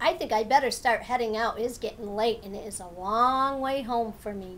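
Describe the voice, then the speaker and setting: Against clear background noise, a woman uses a put-on character voice pitched fairly high. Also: fairly quick pace. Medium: read story.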